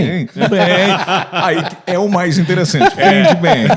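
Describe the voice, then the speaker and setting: Noticeable background noise sits behind a man speaking at a fairly slow pace. His voice is high, with ordinary pitch variation. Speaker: voice actor. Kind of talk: interview answer.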